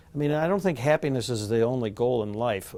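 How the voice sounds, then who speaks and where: The man's voice sits at a medium pitch and has a dark, mellow tone. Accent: American. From US Midwest. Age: 60s. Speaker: law professor. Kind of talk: interview monologue. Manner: halting, many fillers.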